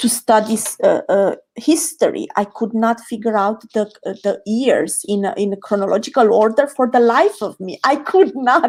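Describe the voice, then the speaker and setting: Speaking with a Romanian accent, the voice has lively intonation and hardly any pauses. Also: woman, fairly high pitch for a woman, moderate pace. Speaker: creativity coach. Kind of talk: podcast interview. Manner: halting.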